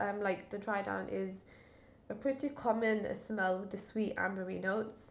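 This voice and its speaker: Speaking at a moderate pace, a woman uses a medium pitch with vocal fry and fairly even intonation. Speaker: fragrance reviewer. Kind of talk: casual product review to camera.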